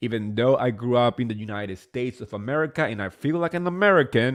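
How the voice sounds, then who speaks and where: Speaking fairly quickly with a Spanish accent, the voice has an animated tone and lively intonation. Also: man. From New Jersey, born in Spain. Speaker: reality TV recap podcaster. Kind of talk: casual solo recap commentary. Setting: live stream.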